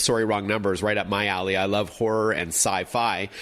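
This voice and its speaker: A man at a fairly quick pace, fairly low in pitch, with an ordinary speaking voice. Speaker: tech columnist, author and TV personality, podcast host. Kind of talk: interview host, casual conversation.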